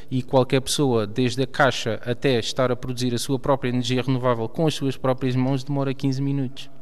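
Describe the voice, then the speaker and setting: Barely pausing, a man speaks at a fairly quick pace in a medium pitch with monotone, flat intonation. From Portugal, Alentejo. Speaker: engineer, company founder. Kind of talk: panel discussion. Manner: hesitant, repeats words.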